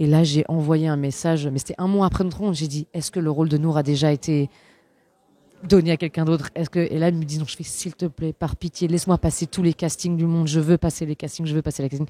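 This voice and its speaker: A woman talks at a very fast pace with a very deep, low pitch and a dark, mellow tone. The sound is dry and close, with no echo. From Switzerland. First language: Flemish (speaking French). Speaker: actress. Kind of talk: interview. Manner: animated.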